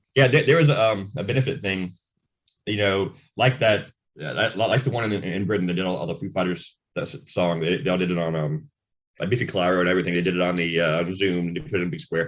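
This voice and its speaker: A man speaks in a very deep, low voice with lively intonation. He mumbles at a very fast pace. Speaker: rock band frontman and singer. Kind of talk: casual interview chat. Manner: mumbling.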